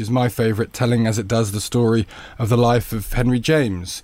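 A man with an English Midlands accent at a fairly quick pace. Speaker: magazine editor and podcast host. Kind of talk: casual chat.

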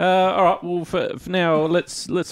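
A man with an Australian accent against a quiet background. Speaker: podcast host. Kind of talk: casual chat.

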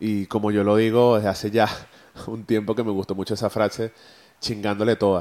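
Flat, monotone intonation at a fairly quick pace. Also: man, fairly low pitch for a man. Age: 30s. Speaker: podcast host and photographer. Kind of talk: solo motivational monologue. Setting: recording on camera and audio. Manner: halting, many repeated words.

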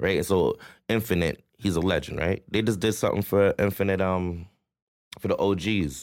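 A man with a Toronto accent speaks at a moderate pace and fairly low pitch, with fairly even intonation and very even loudness. The recording is very clean, with a silent background. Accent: Toronto urban Canadian English. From Toronto, Canada (Rexdale, Etobicoke). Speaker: rapper and entrepreneur. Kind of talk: casual interview chat.

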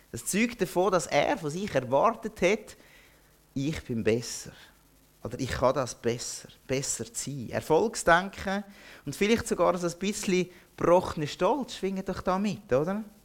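This man's voice is high in pitch, with very wide pitch swings. He speaks at a fairly slow pace. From Zürcher Oberland, Switzerland. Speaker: pastor. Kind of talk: sermon.

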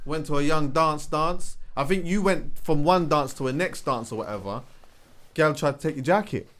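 A man with a London accent speaks in an animated tone at a fairly high pitch. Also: ordinary pitch variation, moderate pace. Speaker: podcast co-host. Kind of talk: casual chat.

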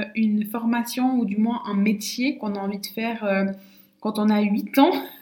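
A woman's fairly high voice at a fairly slow pace, over noticeable background noise. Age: 20s. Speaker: naturopath and podcast host. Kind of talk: casual solo monologue. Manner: hesitant, many fillers and repetitions.

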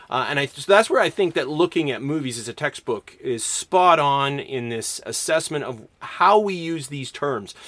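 Speaking in a Canadian accent, a man uses an unremarkable speaking voice at a fairly high pitch, moving at a moderate pace with lively intonation and hardly any pauses. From Canada, Alberta. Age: 40s. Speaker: English professor and podcast host. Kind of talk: lecture.

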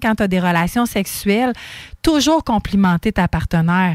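A plain, everyday voice from a woman, medium pitch with ordinary pitch variation, moderate pace, dry, close sound with no echo. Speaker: radio co-host. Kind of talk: casual chat.

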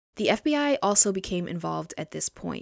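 A woman with an unremarkable speaking voice talks at a fairly quick pace and medium pitch, in a very clean recording with a silent background and a dry, close sound with no echo. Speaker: true crime podcaster. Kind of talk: true-crime narration. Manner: measured, serious, formal; steady, even-paced reading of case facts.

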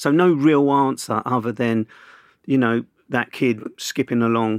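A man speaks with a South London accent at a medium pitch and fairly even intonation. The sound is dry and close with no echo, over a quiet background. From Southeast London (Camberwell). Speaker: journalist and broadcaster. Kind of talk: casual interview.

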